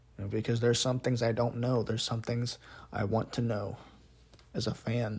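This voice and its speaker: Somewhat breathy and medium in pitch, a man speaks in a flat monotone with long, frequent pauses. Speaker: wrestling podcast host. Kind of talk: solo podcast monologue. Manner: fast.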